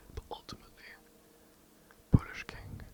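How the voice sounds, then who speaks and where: Whispering against noticeable background noise. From England. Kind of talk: ASMR history narration. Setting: home recording, poor mic. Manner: whispered; hesitant, some stutters.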